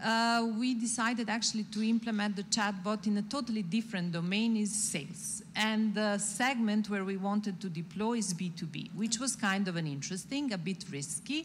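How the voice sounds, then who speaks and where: A woman speaks at a moderate pace with hardly any pauses, her voice somewhat breathy and her pitch varying in an ordinary way. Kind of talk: interview answer. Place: stage. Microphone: handheld.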